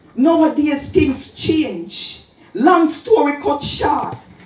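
In a Jamaican accent, a woman speaks at a very slow pace with a high pitch amid audible room echo. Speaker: dub poet. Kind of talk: dub poetry performance. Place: hall.

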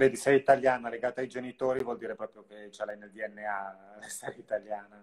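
This man talks at a fairly quick pace with hardly any pauses, fairly even intonation and big swings in loudness over a quiet background. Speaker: live-stream interviewer. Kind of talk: live interview. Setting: video call. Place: home room. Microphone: video call.

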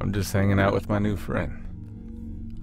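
A man's gravelly put-on character voice, fairly low-pitched and fairly slow, over loud background noise. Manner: eerie, unison with another voice.

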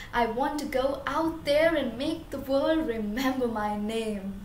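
Amid light background noise and audible room echo, a woman speaks very slowly at a high pitch in a dramatic tone with ordinary pitch variation. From India. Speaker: student poet. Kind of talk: performed spoken-word poem, rhymed and rhythmic. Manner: expressive, dramatic, emotional delivery building to defiant, forceful ending. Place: home room. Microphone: camera far.

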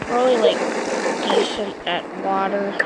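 The voice belongs to a woman. Noticeable background noise can be heard as she talks. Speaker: gaming YouTuber. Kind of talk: let's play gameplay commentary. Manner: halting, many filler words.

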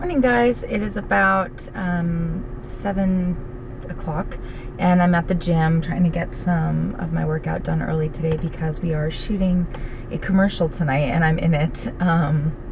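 Pitch varies in an ordinary way as the talking proceeds fairly slowly against noticeable background noise. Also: woman, fairly low pitch for a woman. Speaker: fitness vlogger. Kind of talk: casual vlog chat. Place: car. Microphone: phone near.

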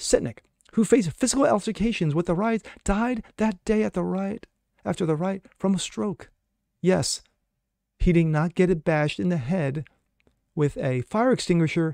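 An energetic-toned man at a moderate pace, dry sound with no echo, quiet background. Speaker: political commentator. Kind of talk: opinionated news commentary monologue. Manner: sarcastic, mocking, indignant; energetic, rhetorical, punchy. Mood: skeptical, indignant. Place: home room.

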